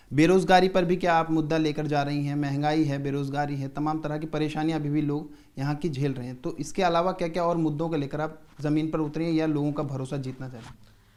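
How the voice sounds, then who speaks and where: This man speaks at a moderate pace with hardly any pauses. His intonation is monotone and flat, while his loudness swings widely. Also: fairly high pitch for a man. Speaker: news presenter. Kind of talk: interview question.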